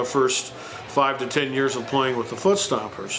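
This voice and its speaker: A man with a Midwestern US accent and fairly high pitch, amid noticeable background noise and audible room echo. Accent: US Midwest. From Moline, Illinois, US Midwest. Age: 60s. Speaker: musician, retired high school band director. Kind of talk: oral history interview. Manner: halting, many fillers.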